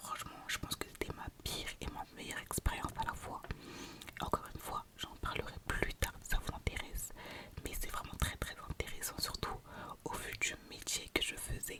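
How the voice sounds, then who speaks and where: Noticeable background noise runs beneath a woman's whisper. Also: moderate pace. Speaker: ASMR creator. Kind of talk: casual talk to camera, ASMR-style whispered introduction. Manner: whispered, soft-spoken.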